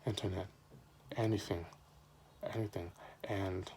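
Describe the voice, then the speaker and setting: Fairly slow and fairly even in intonation, a man speaks in a somewhat breathy, dark, mellow tone. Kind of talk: informative speech. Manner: stuttering.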